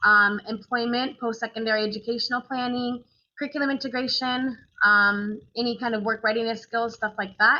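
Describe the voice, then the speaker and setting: Speaking at a fairly quick pace, a woman uses a fairly high pitch. Her intonation is fairly even. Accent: American. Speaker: transition counselor for special education. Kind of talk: webinar presentation. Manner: mumbling, hesitant with many fillers.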